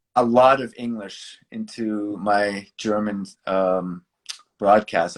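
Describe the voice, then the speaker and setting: With a Boston accent, a man speaks at a fairly low pitch in a monotone, flat intonation. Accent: American, Boston. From US Northeast, Boston. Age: 50s. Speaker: basketball broadcaster. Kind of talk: interview.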